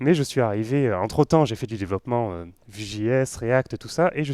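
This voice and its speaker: In a very clean recording with a silent background, the speaker has a dark, mellow tone, lively intonation and a fairly quick pace. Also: man. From western France (Nantes). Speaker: web developer, conference speaker. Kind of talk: tech conference talk. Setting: stage with live audience. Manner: casual, joking, with many fillers.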